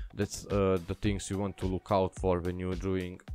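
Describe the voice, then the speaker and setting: Against background music, a man with a non-native accent speaks at a moderate pace in a very deep, low, flat monotone, recorded dry and close with no echo. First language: not English. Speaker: graphic designer, tutorial youtuber. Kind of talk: tutorial. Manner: halting, many fillers.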